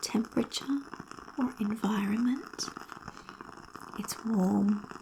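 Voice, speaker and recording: A soft-spoken woman talks at a very slow pace against noticeable background noise. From Australia. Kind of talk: ASMR personal story.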